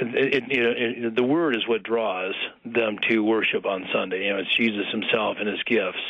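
Moderate pace, medium pitch, a man's voice, noticeable background noise. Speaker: pastor. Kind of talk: radio interview. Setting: phone call.

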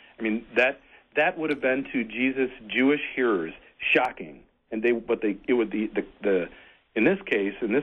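Here is an ordinary speaking voice from a man with an American accent. He talks at a moderate pace in a medium pitch with ordinary pitch variation. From US Midwest, Michigan (Frankenmuth). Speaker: Lutheran pastor. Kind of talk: casual radio conversation.

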